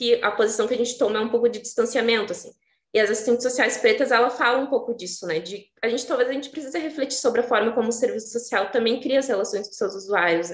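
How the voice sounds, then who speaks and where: The woman talks at a very fast pace. Her pitch is high, with ordinary variation. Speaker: social worker speaker at a seminar. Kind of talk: panel talk.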